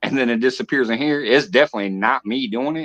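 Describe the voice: The tone is fairly bright, with ordinary pitch variation. Speech moves at a fairly quick pace. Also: man.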